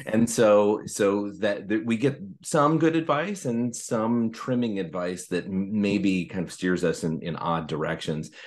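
In an ordinary speaking voice, a man talks at a fairly low pitch with lively intonation and hardly any pauses. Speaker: author and programming academy director. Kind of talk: casual interview conversation. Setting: podcast interview.

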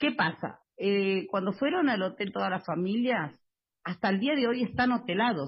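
A woman talks at a moderate pace and a medium pitch. Her voice is somewhat breathy and very even in loudness. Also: lively intonation. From Buenos Aires, Argentina. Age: 40s. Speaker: housing cooperative resident and activist. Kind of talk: interview. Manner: halting, many fillers.

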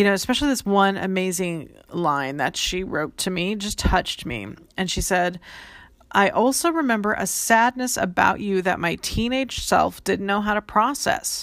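The voice has lively intonation and an animated tone. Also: woman, medium pitch for a woman. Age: 40s. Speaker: life coach podcast host. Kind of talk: solo podcast monologue. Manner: fast.

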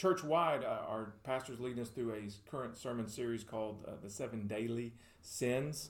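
A man's somewhat breathy, medium-pitched voice with a Middle Tennessee accent, at a moderate pace amid audible room echo. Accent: Southern US (Middle Tennessee). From Tennessee (Murfreesboro). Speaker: pastor. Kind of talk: casual chat. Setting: studio.

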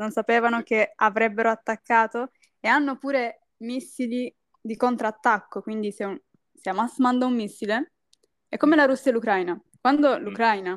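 At a moderate pace, a woman uses a normal speaking voice with a fairly high pitch and ordinary pitch variation, in a very clean recording with a silent background and a dry, close sound with no echo. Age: 20s. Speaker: university student. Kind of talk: casual chat.

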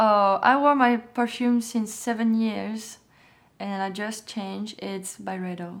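A woman with a French accent speaks at medium pitch with fairly even intonation. Her pace is fairly slow on a very clean recording with a silent background. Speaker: fashion model. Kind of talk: casual interview.

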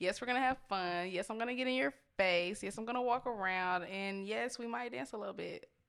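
With an ordinary speaking voice, a woman talks at a fairly quick pace and medium pitch, using lively intonation and hardly any pauses. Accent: American. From Austin, Texas. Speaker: rapper. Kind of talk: casual interview chat.

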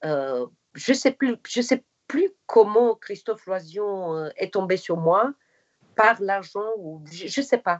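A woman with a non-native accent, medium in pitch, lively in intonation, at a very slow pace. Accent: foreign accent in French and English. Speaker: actress. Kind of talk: interview.

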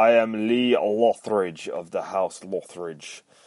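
A booming, put-on character voice. It moves at a fairly slow pace with fairly even intonation. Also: man, medium pitch for a man. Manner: grandiose, declaring.

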